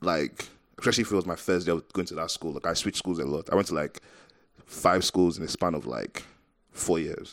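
A man's very deep, low voice with vocal fry, ordinary pitch variation and a fairly quick pace. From Nigeria. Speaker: podcast co-host. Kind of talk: casual chat.

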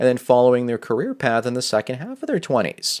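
A man with a normal speaking voice talks at a medium pitch and a fairly quick pace. The recording is very clean and dry, close with no echo and a silent background. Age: 40s. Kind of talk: solo monologue video answering a viewer's question.

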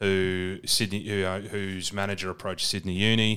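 A man with an Australian accent, fairly low-pitched and bright, sharp in tone, monotone and flat in intonation, at a moderate pace, in a very clean recording with a silent background. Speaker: podcast co-host, rugby commentator. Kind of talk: casual chat.

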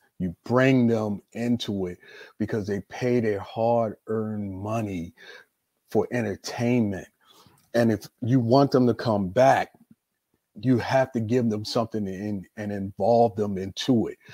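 A man's dark, mellow voice with an American accent, medium in pitch, fairly slow in pace and fairly even in intonation, in a dry, close sound with no echo. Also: very clean recording, silent background. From US, Baltimore, Maryland. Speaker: retired professional wrestler. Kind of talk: casual interview.

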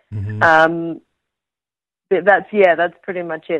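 A woman with an Australian accent talks in a bubbly tone at a moderate pace over a quiet background. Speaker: actress. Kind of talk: interview. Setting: remote call with delay.

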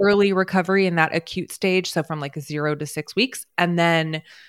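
At a moderate pace, a woman with an unremarkable speaking voice talks in a fairly low pitch with fairly even intonation. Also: dry, close sound with no echo, very clean recording, silent background. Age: 40s. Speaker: pelvic floor physical therapist. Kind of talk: interview.

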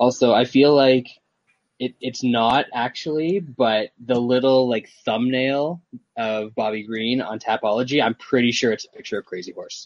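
With a plain, everyday voice, the speaker keeps a moderate pace and fairly even intonation while loudness swings widely. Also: man, medium pitch for a man, dry, close sound with no echo. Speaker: podcast host. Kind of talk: casual banter, sports betting talk.

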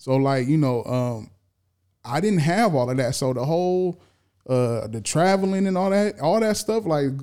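At a moderate pace, a man with a fairly high pitch and a dark, mellow tone makes very wide pitch swings. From California. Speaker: podcast producer. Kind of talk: casual chat.

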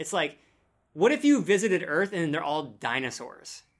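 A man at a fairly quick pace with very wide pitch swings, on a very clean recording with a silent background. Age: 30s. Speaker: science content creator. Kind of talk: casual chat. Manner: animated.

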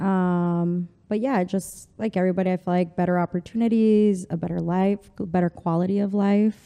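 A woman speaks with a Spanish accent at a moderate pace. Her intonation is flat and monotone, and the sound is dry and close with no echo. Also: medium pitch for a woman, hardly any pauses, quiet background. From El Paso, Texas (US-Mexico border). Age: 30s. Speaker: fashion stylist and consultant. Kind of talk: casual interview chat. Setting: studio.

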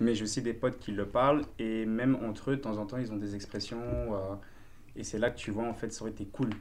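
With audible room echo around him, a man speaks at a fairly quick pace in a medium-pitched voice with fairly even intonation. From Belgium. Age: 20s. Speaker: dancer and martial arts teacher. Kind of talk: casual chat.

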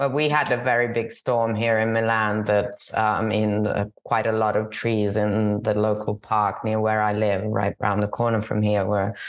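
Speaking in an Italian accent, a woman uses a very deep, low pitch, a fairly slow pace and fairly even intonation. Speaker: podcast host. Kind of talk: interview conversation. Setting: video call. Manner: halting.

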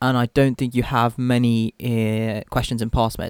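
In a very clean recording with a silent background, a man with a British accent speaks at a medium pitch, the sound dry and close with no echo. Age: 20s. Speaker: medical student podcast co-host. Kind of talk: casual chat. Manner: hesitant, many fillers.

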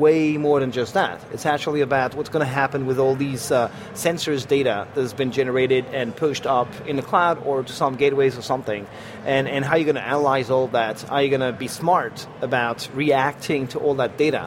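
Noticeable background noise sits behind a man's fairly high voice. He talks at a fairly quick pace, with fairly even intonation. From France. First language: French. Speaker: software program manager. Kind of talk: casual interview. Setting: live at a tech conference.

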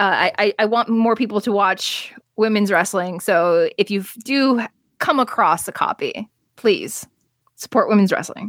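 A woman with an ordinary speaking voice and an American accent talks at a fairly slow pace, with a fairly high pitch, ordinary pitch variation and very even loudness. The recording is very clean, with a silent background and a dry, close sound with no echo. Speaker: wrestling journalist. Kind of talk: casual chat.

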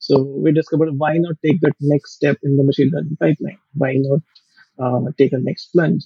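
Speaking at a moderate pace, a man uses a fairly high pitch and a somewhat breathy voice. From India. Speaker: ML engineer and business lead. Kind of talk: podcast interview.

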